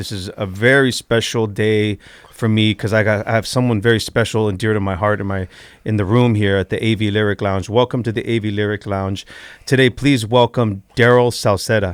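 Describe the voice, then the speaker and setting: A man with an American accent speaks at a fairly quick pace and a fairly low pitch. His intonation is fairly even, on a very clean recording with a silent background. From Central California. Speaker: podcast host and singer. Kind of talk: casual interview. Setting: studio. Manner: halting.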